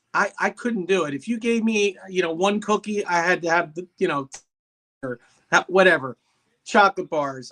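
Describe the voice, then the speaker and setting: A man talks at a moderate pace in a high-pitched voice with a bright, sharp tone. His pitch varies in an ordinary way, and the sound is dry and close with no echo. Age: 60s. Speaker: salesman, guest sharing diet story. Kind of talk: casual chat, personal testimony.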